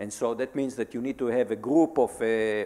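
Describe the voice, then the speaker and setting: This man has a medium-pitched, normal speaking voice and talks at a moderate pace. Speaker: computer science professor. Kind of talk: panel discussion. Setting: stage with audience. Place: hall. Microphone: handheld.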